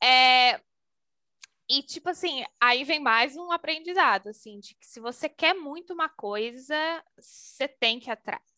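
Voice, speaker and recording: A woman's raised, projected voice, high-pitched and bright and sharp in tone, with lively intonation, big swings in loudness and a fairly slow pace, on a dry, close recording with no echo against a quiet background. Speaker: HR and talent manager. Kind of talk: casual interview.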